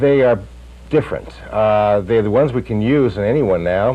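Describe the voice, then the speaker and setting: A man's fairly low-pitched voice with lively intonation over noticeable background noise. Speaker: plastic surgeon. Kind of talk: interview answer. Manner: hesitant, many fillers.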